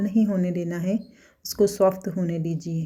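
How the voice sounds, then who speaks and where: Somewhat breathy and dark, mellow in tone, a woman's medium-pitched voice stays monotone and flat. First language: Gujarati (speaking Hindi). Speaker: cooking vlogger. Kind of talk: cooking tutorial. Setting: home kitchen. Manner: halting.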